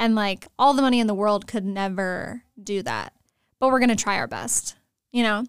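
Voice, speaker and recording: Recorded with a dry, close sound and no echo, a woman with an American accent uses a normal speaking voice at a fairly high pitch, moderate pace and fairly even intonation. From Texas, San Antonio. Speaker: university student, graphic designer and photographer. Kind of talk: casual interview chat.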